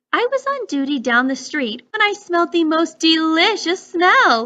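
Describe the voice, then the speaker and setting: A woman puts on a character voice at an extremely high pitch with very wide pitch swings. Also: moderate pace. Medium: read story.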